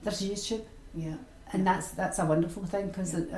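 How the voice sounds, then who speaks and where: A woman in a Glaswegian accent at a very fast pace with fairly even intonation, amid noticeable background noise and audible room echo. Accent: Glaswegian Scottish. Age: 60s. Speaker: retired sewing and knitting teacher. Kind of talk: interview.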